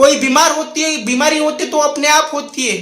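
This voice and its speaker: This is a man speaking. Audible room echo surrounds his voice. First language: Marathi (speaking Hindi). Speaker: motivational speaker. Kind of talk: motivational talk to camera. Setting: recording a video indoors near a window.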